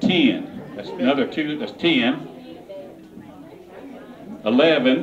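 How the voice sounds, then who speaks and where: A man at a fairly high pitch, very slow, with very wide pitch swings, long, frequent pauses and crowd noise in the background. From Kentucky. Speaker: auctioneer. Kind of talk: casual fundraising appeal to a crowd. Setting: live charity auction event. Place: hall. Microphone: handheld.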